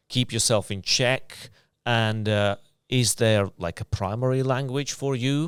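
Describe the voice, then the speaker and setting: Recorded very cleanly against a silent background, a man with a non-native accent speaks at a moderate pace. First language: not English. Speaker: podcast host. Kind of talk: casual interview. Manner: halting.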